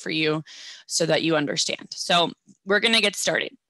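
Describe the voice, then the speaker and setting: With a Midwestern American accent, a woman speaks in a bright, sharp tone with ordinary pitch variation, the sound dry and close with no echo. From US Midwest, Ohio. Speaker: educational advisor. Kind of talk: presentation.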